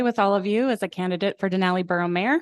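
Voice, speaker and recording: The recording is dry and close, with no echo. A woman speaks at a medium pitch with fairly even intonation. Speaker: mayoral candidate. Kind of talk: candidate forum speech. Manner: fast.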